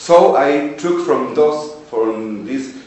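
Over noticeable background noise and audible room echo, a man's voice comes through at medium pitch. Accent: Spanish. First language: Spanish. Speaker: English teacher and podcaster. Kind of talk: presentation to a workshop panel.

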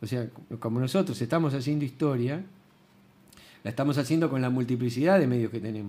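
A dark, mellow tone at a very fast pace with ordinary pitch variation. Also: man. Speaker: retired history teacher. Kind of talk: casual chat. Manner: halting.

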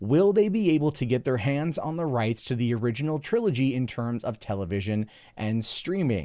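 A man's dark, mellow tone at a medium pitch, with hardly any pauses, on a very clean recording with a silent background. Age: 30s. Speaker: YouTube commentator and podcast host. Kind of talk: solo podcast commentary. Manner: frequent fillers and repetitions.

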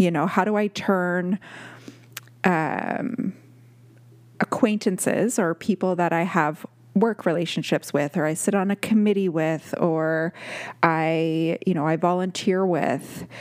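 With long, frequent pauses, a woman speaks at a fairly low pitch with ordinary pitch variation, the sound dry and close with no echo. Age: 40s. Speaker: podcast host. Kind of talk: solo monologue. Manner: casual, with many fillers.

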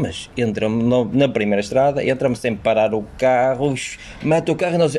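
A man talks with a European Portuguese accent. Noticeable background noise can be heard. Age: 40s. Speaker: teacher. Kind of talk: casual chat.

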